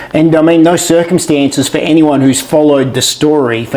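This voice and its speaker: Someone with an Australian accent talks at a fairly quick pace with ordinary pitch variation. Noticeable background noise is present. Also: man. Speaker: interviewer. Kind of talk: interview.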